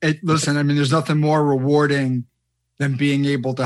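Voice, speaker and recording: This man has a plain, everyday voice, pitched fairly high for a man with fairly even intonation. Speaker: podcast host. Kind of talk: interview conversation.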